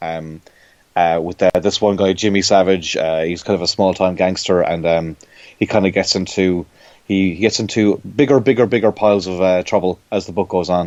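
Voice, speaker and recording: This man has an Irish accent and a very deep, low pitch. His intonation is fairly even. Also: moderate pace. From Ireland. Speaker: comic book artist. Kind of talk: interview. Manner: halting, many fillers and repetitions.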